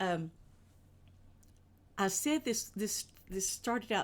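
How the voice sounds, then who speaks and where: In a Kentucky accent, a woman at a medium pitch speaks with lively intonation. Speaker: children's show streamer. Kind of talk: live stream kids' show host chat. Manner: casual, chatty.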